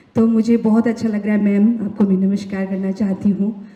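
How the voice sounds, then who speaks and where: A woman's fairly high, somewhat breathy voice with a dark, mellow tone, monotone and flat in intonation, in a Nepali accent. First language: Nepali (speaking Hindi). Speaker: singer and songwriter. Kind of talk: award acceptance speech.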